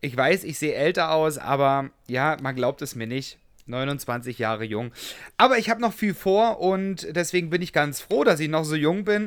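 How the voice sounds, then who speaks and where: Using a plain, everyday voice, a man talks at a moderate pace with fairly high pitch and lively intonation. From Saxony, Germany. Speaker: podcast co-host. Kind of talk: casual chat; interview.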